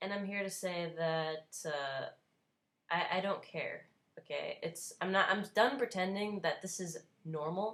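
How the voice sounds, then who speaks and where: This woman, in a New Jersey accent, talks at a moderate pace. Her pitch is medium with ordinary variation. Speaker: vlogger, cancer survivor. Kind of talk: unscripted opinion vlog rant. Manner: animated, emphatic.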